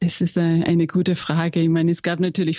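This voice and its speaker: A woman with an Austrian accent and a fairly low pitch. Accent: Austrian-tinged German. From England. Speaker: company executive. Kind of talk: interview. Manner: halting.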